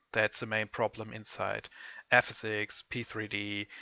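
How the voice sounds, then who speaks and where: A man with a German accent speaks at a fairly low pitch in a bright, sharp tone, the sound dry and close with no echo against a quiet background. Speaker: software tutorial presenter. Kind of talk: tutorial. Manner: halting, many fillers.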